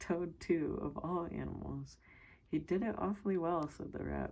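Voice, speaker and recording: A soft-spoken woman at a moderate pace. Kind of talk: ASMR story reading.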